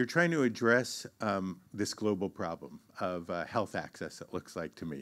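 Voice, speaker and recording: The man's fairly low voice keeps to a moderate pace. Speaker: university administrator; session moderator. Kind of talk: conference address. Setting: stage with audience. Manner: halting. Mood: formal, courteous. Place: hall. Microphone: handheld.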